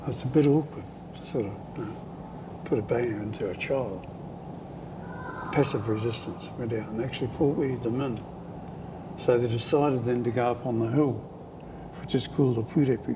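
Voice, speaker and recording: A man's medium-pitched voice with a New Zealand accent at a moderate pace, with long, frequent pauses over noticeable background noise. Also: fairly even intonation. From Parihaka, Taranaki, New Zealand. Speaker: oral history storyteller. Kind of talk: interview answer.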